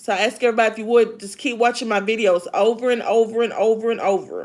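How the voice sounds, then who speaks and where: At a very fast pace, a woman talks in a Kentucky accent with a fairly high pitch and monotone, flat intonation. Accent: Southern US (Kentucky). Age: 50s. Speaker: live streamer, author and former elderly caregiver. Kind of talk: casual live stream chat. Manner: loud; sounds like screaming.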